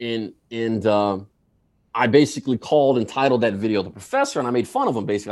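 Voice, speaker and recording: A man of medium pitch talks with an American accent and ordinary pitch variation. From US. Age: 40s. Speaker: video creator. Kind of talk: casual chat. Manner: loud, hyper; excitable.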